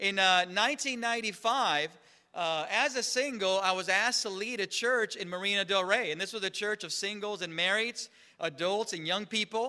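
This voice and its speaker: A man with a high pitch projects a raised voice at a moderate pace. His tone is bright and sharp, with ordinary pitch variation. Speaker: church minister. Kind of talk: sermon.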